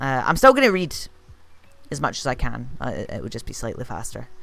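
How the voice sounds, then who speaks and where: Someone speaks in a Scottish accent with music in the background. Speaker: streamer playing a video game. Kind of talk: live gameplay commentary. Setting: live stream. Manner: casual, with filler words.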